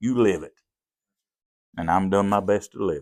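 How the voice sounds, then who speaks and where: A man with a Southern accent talks at a fairly quick pace with very wide pitch swings, captured in a very clean recording with a silent background. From US South (Appalachia). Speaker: pastor. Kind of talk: testimony.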